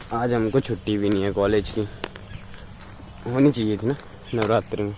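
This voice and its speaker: Background noise is noticeable behind a man speaking at a fairly slow pace. His intonation stays fairly even. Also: fairly low pitch for a man. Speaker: vlogger, hospitality student. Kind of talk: casual vlog. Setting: outdoors, walking to college.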